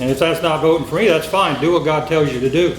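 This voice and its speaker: A man speaks with ordinary pitch variation. Noticeable background noise and audible room echo are present. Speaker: sheriff candidate. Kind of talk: campaign speech. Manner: loud.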